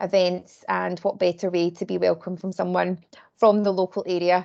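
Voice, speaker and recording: A woman speaks in a Glaswegian accent with a dark, mellow tone. Her moderate pace comes through a dry, close sound with no echo. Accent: Glaswegian Scottish. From Scotland, Glasgow. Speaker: volunteer recruitment lead. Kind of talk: presentation at online community meeting. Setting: video call.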